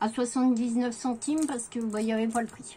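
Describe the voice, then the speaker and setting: A woman's voice comes through fairly high in pitch and somewhat breathy. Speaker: craft vlogger. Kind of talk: haul video. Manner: hesitant, many fillers.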